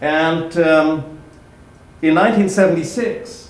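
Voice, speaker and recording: A man's fairly high voice with audible room echo and noticeable background noise. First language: German. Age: 50s. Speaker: historian and lecturer. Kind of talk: public talk. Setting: library event with audience.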